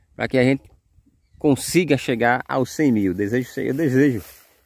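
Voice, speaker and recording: The voice has ordinary pitch variation and a dry sound with no echo. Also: man. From Sergipe, Brazil. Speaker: YouTuber showing property for sale. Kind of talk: property tour vlog. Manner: animated. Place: open country. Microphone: phone near.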